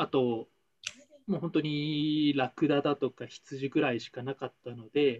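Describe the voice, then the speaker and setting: Here is a normal speaking voice with fairly even intonation at a moderate pace. Its loudness swings widely. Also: man, fairly high pitch for a man. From Taiwan. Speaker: former trading company employee. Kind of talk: casual chat.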